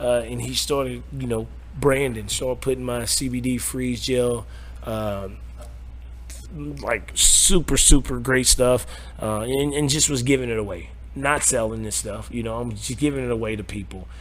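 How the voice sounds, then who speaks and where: Moderate-paced male speech amid noticeable background noise and audible room echo. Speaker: cannabis dispensary owner. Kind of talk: interview. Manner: loud; repetitive stammering.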